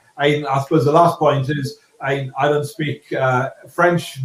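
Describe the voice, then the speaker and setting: A man speaks at a fairly slow pace with a Scottish accent. His pitch sits fairly high and his intonation stays fairly even. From Scotland. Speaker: property developer. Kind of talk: panel discussion. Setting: webinar. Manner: halting.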